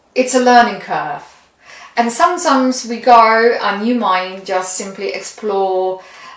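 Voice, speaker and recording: A woman with a non-native accent speaks at a fairly high pitch with lively intonation. Room echo is audible. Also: fairly slow pace. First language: not English. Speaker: tarot reader. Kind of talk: tarot reading. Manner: halting.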